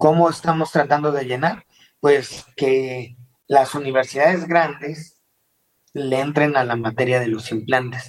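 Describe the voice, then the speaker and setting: Intonation stays fairly even in an unremarkable speaking voice that moves at a fairly slow pace. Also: man, fairly high pitch for a man. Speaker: dental implant surgeon. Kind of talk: interview. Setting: video call.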